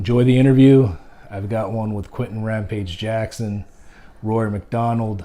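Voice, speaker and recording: Fairly low in pitch, a man speaks at a moderate pace with fairly even intonation and a dark, mellow tone. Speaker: blogger and interviewer with CTE. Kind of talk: vlog address then interview. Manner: halting, slurred speech.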